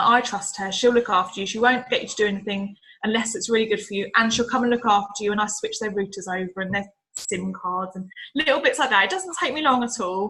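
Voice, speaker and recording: A woman talks at a very fast pace. Her fairly high pitch shows ordinary variation. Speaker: utility sales agent. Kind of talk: training talk.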